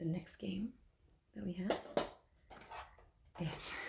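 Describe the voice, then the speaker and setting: A soft-spoken delivery at a very slow pace. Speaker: ASMR creator. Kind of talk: ASMR softly spoken rambling.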